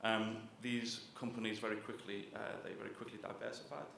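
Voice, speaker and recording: Speaking at a fairly quick pace in a Liverpool accent, a man is heard with audible room echo and noticeable background noise. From northern England, Liverpool. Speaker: author, journalist. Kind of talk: book talk lecture.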